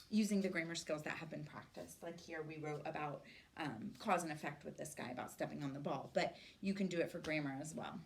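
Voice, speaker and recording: A woman talks at a very fast pace with a very deep, low pitch. Her voice is somewhat breathy, with ordinary pitch variation. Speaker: teacher trainer. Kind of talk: presentation to teachers.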